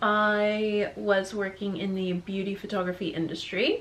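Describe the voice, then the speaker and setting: A woman speaks with an American accent. Noticeable background noise sits behind her. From Colorado, US. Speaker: photographer. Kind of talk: casual chat.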